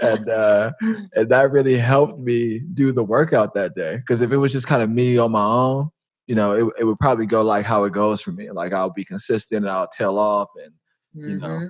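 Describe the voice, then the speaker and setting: At a fairly quick pace, a man with a medium pitch talks in a normal speaking voice, his pitch varying in an ordinary way. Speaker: podcast host. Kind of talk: casual interview conversation.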